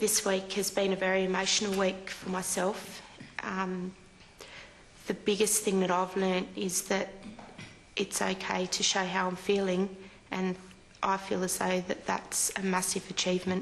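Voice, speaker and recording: Amid noticeable background noise, a woman with an Australian accent speaks at medium pitch, fairly slowly and in a monotone, flat way, with long, frequent pauses. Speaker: reality show contestant. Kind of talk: emotional interview.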